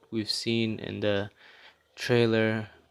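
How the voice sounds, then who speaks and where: A man with a Middle Eastern accent at a very slow pace. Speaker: gaming youtuber. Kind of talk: casual video commentary. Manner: casual, hesitant with fillers.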